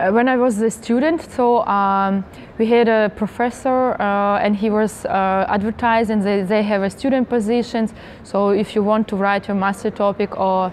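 A woman at a moderate pace, with fairly even intonation and very even loudness, over light background noise. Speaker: interviewee. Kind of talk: interview answer. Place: hall.

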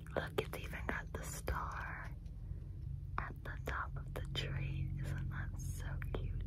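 Whispering and soft-spoken, a woman talks at a very slow pace over loud background noise, the sound dry with no echo. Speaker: ASMR livestreamer. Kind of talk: soft casual ASMR chat. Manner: soft close whisper, intimate. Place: home room. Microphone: phone near.

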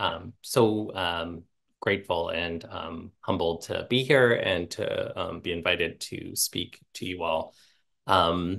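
Against a quiet background, a man speaks. His pace is very slow. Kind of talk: casual talk to an audience. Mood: warm, humorous, self-deprecating. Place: home room. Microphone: earbuds.

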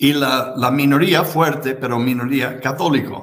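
At a very slow pace, a man talks in a somewhat breathy voice of medium pitch with ordinary pitch variation. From United States. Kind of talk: interview conversation. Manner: halting, repeats words. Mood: reflective, calm. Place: home room.

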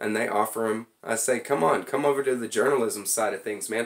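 With ordinary pitch variation, a text is read aloud in a natural voice.

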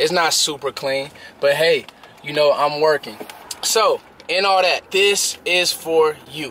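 At a fairly slow pace, a man speaks with ordinary pitch variation in a dry sound with no echo over light background noise. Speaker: sports vlogger. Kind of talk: casual vlog chat. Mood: warm, grateful, casual. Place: car. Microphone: phone near.

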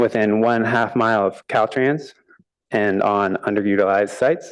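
Over a quiet background, a man talks at a medium pitch with ordinary pitch variation. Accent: American. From US West Coast, Palo Alto, California. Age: 30s. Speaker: public commenter, landowner. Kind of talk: public comment at council meeting.

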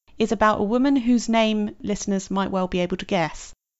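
With a British accent, a woman speaks at a moderate pace and a medium pitch. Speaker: podcast host. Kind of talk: interview.

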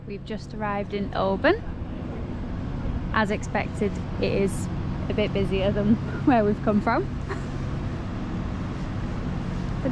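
A woman's fairly slow speech sounds dry and echo-free despite loud noise in the background. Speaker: travel vlogger. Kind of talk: casual vlog chat. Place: street. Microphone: phone near.

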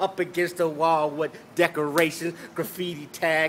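A man speaks at a fairly slow pace with a bright, sharp tone. There is light background noise. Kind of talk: freestyle rap. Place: street. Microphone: phone near.

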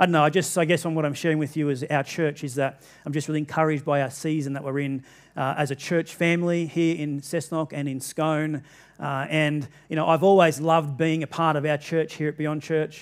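Over a quiet background, a man talks at a fairly quick pace. His intonation is monotone and flat. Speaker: pastor. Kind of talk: sermon. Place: church.

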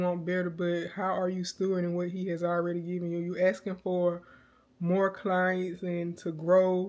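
Speaking at a fairly slow pace, a woman has a medium pitch. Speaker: vlogger and cake baker. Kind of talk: casual vlog talk, faith reflection.

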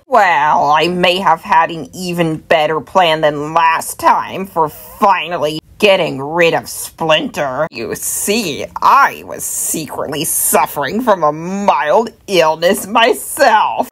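In a put-on character voice, a woman talks at a fairly slow pace with a fairly low pitch and ordinary pitch variation. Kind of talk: comic overacting. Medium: fan dub.

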